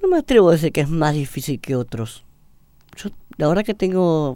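Dark and mellow in tone, a man's voice sits high in pitch with ordinary variation. He moves at a moderate pace. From Argentina, Buenos Aires. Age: 30s. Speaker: seminarian. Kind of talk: radio interview testimony. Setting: radio studio.

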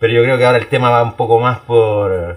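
A man talks at a very fast pace in a Chilean accent. His pitch is medium. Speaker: podcast co-host. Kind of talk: casual chat. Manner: loud.

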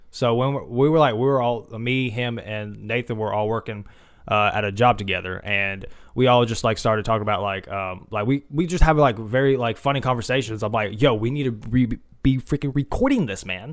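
A man talks at a fairly quick pace with an animated tone, his medium-pitched voice showing ordinary pitch variation. The recording is very clean, with a silent background. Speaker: podcast host. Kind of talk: casual chat. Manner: joking, animated.

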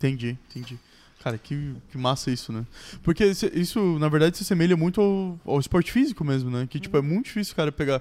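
Lively intonation carries the words along at a very fast pace. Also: man, fairly high pitch for a man. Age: 20s. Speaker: podcast co-host. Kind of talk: casual chat.

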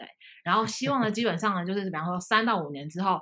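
A woman speaks in a bright, sharp tone. The recording is very clean and the background silent. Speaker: private equity professional. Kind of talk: casual interview chat.

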